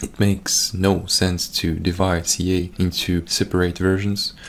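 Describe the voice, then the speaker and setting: A Russian-accented man's very deep, low voice, flat and monotone, over noticeable background noise. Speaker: gaming YouTuber. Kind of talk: scripted commentary over gameplay. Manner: reading from a script.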